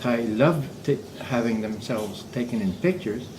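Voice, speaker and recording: A man speaks with a Quebec accent. Noticeable background noise and audible room echo are present. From Quebec, Montreal. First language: French. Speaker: semi-retired expat. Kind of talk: casual interview.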